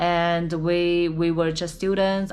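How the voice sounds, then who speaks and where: A woman talks in a Chinese accent. Audible room echo surrounds her voice. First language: Mandarin. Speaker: YouTuber giving dating advice. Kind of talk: casual vlog talk. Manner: many fillers and self-corrections.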